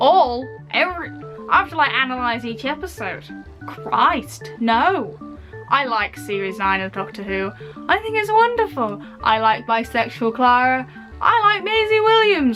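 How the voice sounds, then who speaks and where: With an English accent, a woman speaks fairly slowly in an upbeat tone while music plays in the background. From United Kingdom. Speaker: video blogger. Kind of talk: casual Q&A talk to camera. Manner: chatty, upbeat.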